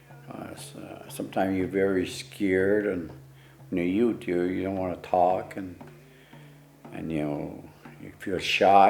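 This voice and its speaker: A man's very deep, low pitch at a moderate pace, with big swings in loudness, long, frequent pauses, audible room echo and noticeable background noise. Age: 70s. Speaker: elder and ceremonial leader. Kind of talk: interview testimony. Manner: halting, many repetitions and fillers.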